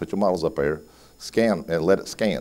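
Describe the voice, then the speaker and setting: A man's fairly low-pitched voice at a fairly quick pace. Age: 60s. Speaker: dental lab owner and technician. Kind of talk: lecture. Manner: casual, frequent okay fillers.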